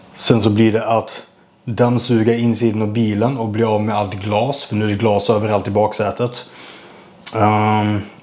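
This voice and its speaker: Monotone, flat intonation marks this man's speech. He talks at a moderate pace. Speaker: vlogger. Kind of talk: casual vlog chat. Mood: frustrated, venting about bad luck. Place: kitchen. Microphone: lapel.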